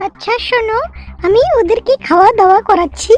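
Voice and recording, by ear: A squeaky, cartoonish character voice moves at a moderate pace, the sound dry and close with no echo. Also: woman, extremely high pitch for a woman.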